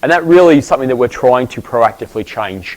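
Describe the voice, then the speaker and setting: Speaking at a very fast pace, a man with an Australian accent uses lively intonation. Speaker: professor. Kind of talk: lecture.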